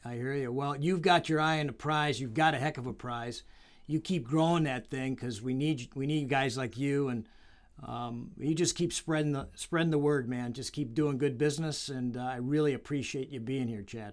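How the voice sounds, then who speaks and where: With an unremarkable speaking voice, a man talks at a moderate pace and a fairly high pitch with fairly even intonation, on a very clean recording with a silent background. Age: 60s. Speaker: wrestling coach and podcast host. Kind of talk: casual interview. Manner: warm, encouraging.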